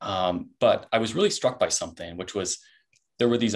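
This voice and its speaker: A man with an American accent talks at a fairly quick pace against a quiet background. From US. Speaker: startup founder. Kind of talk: webinar panel talk. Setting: video call. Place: office. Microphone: video call.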